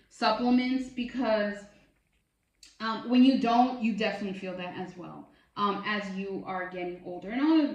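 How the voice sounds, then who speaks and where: A woman talks with a fairly high pitch that varies in an ordinary way. Background music plays behind her. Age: 30s. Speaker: bariatric surgery vlogger. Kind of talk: casual product review vlog. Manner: chatty, filler words.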